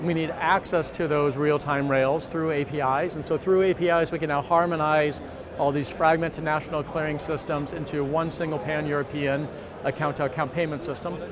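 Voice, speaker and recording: With an American accent, a man talks at a fairly quick pace in a fairly high, monotone, flat voice, with audible room echo and noticeable background noise. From United States. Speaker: company CEO. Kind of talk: conference interview. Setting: industry conference.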